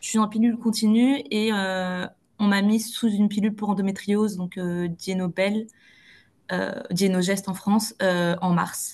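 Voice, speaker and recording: Against a quiet background, a woman speaks at a fairly slow pace in a somewhat breathy voice of medium pitch. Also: fairly even intonation. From Belgium. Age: 20s. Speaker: clinical psychologist. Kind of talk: interview answer.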